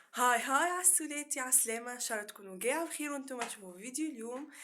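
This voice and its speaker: A woman with a high-pitched, bright, sharp tone talks at a very fast pace in a raised, projected voice with lively intonation. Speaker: YouTuber. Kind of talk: casual vlog.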